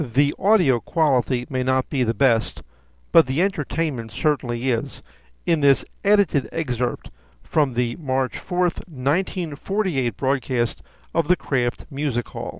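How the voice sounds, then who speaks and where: A man with an unremarkable speaking voice, fairly high in pitch, at a fairly slow pace with ordinary pitch variation, in a dry, close sound with no echo. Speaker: podcast announcer. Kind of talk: scripted announcement. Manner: formal, polished.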